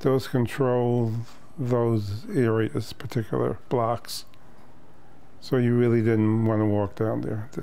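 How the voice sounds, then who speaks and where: With a New York accent, a man with a dark, mellow tone and medium pitch speaks at a very slow pace with fairly even intonation amid audible room echo. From New York City, Lower East Side. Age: 70s. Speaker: therapist. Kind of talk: casual interview chat.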